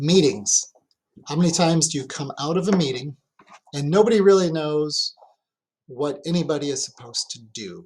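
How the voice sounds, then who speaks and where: A man's fairly high voice at a moderate pace, with ordinary pitch variation, big swings in loudness, and long, frequent pauses. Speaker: fire chief giving a training presentation. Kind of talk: lecture. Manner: animated.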